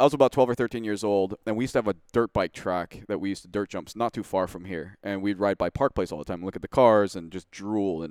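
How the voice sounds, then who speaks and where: In a very clean recording with a silent background and a dry, close sound with no echo, a man with a normal speaking voice and fairly low pitch speaks at a fairly quick pace with ordinary pitch variation. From US Pacific Northwest. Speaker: Porsche tuner and race car builder. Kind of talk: casual interview. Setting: studio.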